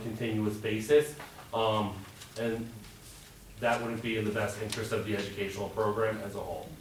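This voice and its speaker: The speech comes at a fairly quick pace over noticeable background noise, with audible room echo. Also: man. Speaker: school budget presenter. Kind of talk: budget presentation at public meeting. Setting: public board meeting.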